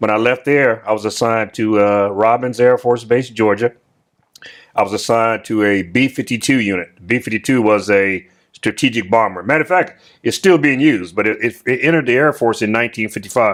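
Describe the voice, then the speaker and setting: A man with an American accent talks at a fairly quick pace in an unremarkable speaking voice. His pitch is medium with ordinary variation, and his loudness stays very even. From US South. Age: 60s. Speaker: retired military officer. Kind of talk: interview.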